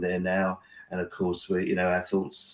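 A man with an English accent and a very deep, low pitch. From England. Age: 60s. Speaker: pastor. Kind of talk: interview conversation. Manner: halting, many fillers.

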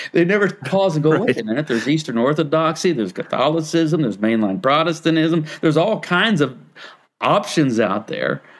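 A man speaks in an unremarkable speaking voice. His pace is moderate. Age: 60s. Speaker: pastor. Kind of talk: interview conversation.

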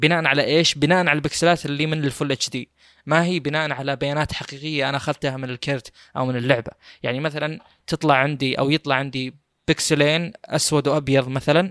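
Fairly quick and fairly high-pitched, a man speaks with fairly even intonation. The recording is very clean and silent behind him, dry and close with no echo. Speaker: tech podcast host. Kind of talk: casual chat.

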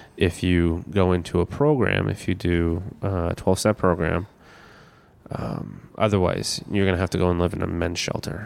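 A man speaks with a Canadian accent. His pitch is very deep and low. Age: 30s. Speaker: comedian. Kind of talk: personal testimony interview.

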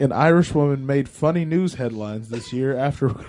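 With a dark, mellow tone and a fairly high pitch, a man speaks at a moderate pace. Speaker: podcast co-host. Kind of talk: casual chat.

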